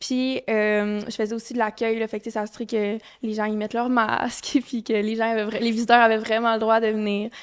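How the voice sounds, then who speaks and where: A woman with a Quebec accent speaks at a fairly high pitch in a flat, monotone way. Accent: Quebec French, Saguenay. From Quebec, Saguenay-Lac-Saint-Jean. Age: 20s. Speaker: medical student. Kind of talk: podcast interview. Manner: hesitant, many fillers.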